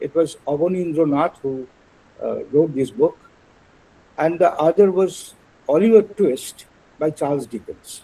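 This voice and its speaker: A man with a Bengali accent speaks in a fairly high voice with ordinary pitch variation. He talks at a fairly slow pace with long, frequent pauses. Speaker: translator and illustrator. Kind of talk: lecture. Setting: webinar. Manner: halting.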